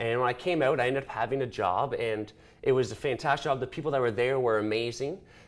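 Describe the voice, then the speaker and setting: A man with a Canadian accent talks at a very fast pace in an animated tone, his medium pitch showing ordinary variation, on a very clean recording with a silent background. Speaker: small business owner. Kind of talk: interview. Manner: loud.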